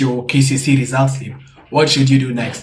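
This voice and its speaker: A man with a fairly high pitch speaks in a somewhat breathy voice, with audible room echo. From Kenya. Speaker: student YouTuber. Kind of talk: tutorial. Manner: casual.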